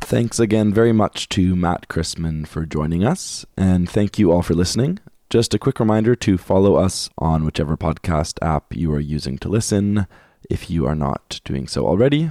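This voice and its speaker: Very deep and low, a man's dark, mellow voice carries lively intonation at a moderate pace. The very clean recording has a silent background and a dry, close sound with no echo. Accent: Canadian. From Canada. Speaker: podcast co-host. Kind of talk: casual chat; scripted outro.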